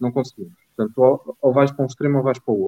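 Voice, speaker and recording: Here a man talks at a medium pitch. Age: 20s. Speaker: doctor and political party member. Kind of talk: political discussion. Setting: live stream.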